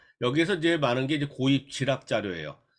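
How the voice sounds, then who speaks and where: A man with a fairly high pitch speaks with vocal fry and ordinary pitch variation. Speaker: school career counselor. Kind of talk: lecture. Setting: online remote lecture. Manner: fast.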